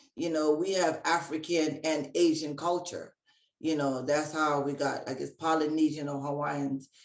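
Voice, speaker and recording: In a very deep, low pitch, a woman speaks at a moderate pace with monotone, flat intonation. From Hawaii. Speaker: Reiki practitioner and healer. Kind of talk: interview.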